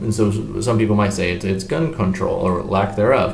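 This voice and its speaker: A man speaks at a fairly quick pace with a fairly low pitch and ordinary pitch variation. Audible room echo and noticeable background noise come through. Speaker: teacher. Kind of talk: lecture. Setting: hotel business office. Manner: quiet.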